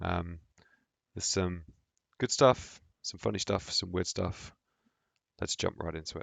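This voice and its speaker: Pitched very deep and low, a man talks at a fairly slow pace with ordinary pitch variation and long, frequent pauses. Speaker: gaming commentator. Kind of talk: gameplay commentary. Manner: casual.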